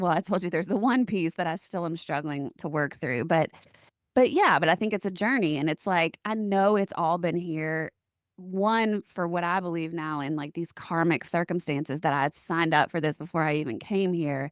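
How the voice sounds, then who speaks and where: On a very clean recording with a silent background, a woman with fairly low pitch and ordinary pitch variation speaks in a plain, everyday voice, in a dry, close sound with no echo. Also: moderate pace. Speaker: podcast host. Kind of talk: casual podcast conversation.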